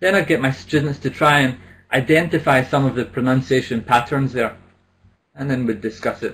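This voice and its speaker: A man's medium-pitched voice with a Scottish accent, ordinary pitch variation and a fairly quick pace. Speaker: business English trainer. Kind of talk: conference presentation. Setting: online symposium.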